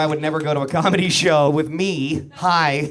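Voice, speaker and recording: A man with a fairly high pitch speaks amid noticeable background noise, with audible room echo. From New Brunswick, Canada. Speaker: comedian. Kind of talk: stand-up. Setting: stage with audience. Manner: fast.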